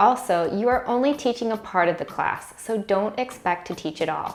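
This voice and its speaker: A woman with an American accent speaks at a moderate pace with ordinary pitch variation amid noticeable background noise. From USA. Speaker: online teacher and YouTuber. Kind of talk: tutorial.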